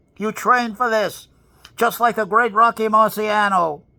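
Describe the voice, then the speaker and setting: On a very clean recording with a silent background, a man with an American accent uses a raised, projected voice that is high-pitched, bright and sharp, speaking fairly slowly with fairly even intonation. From New York City (Bronx). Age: 80s+. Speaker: motivational speaker. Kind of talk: motivational monologue. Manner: forceful.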